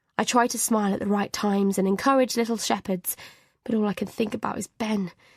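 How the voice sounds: With a quiet background, the fairly even intonation belongs to a natural reading voice.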